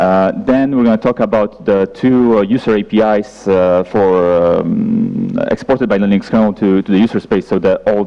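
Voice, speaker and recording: With noticeable background noise behind him, a man speaks at a fairly low pitch with fairly even intonation. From Poland. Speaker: software engineer, conference speaker. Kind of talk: conference talk. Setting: stage with audience. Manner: halting, many fillers.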